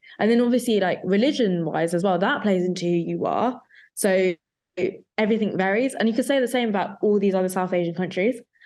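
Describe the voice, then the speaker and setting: A woman at medium pitch with a London accent, very fast and very even in loudness, with ordinary pitch variation over a quiet background. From London, England. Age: young. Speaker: photographer. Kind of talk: casual chat.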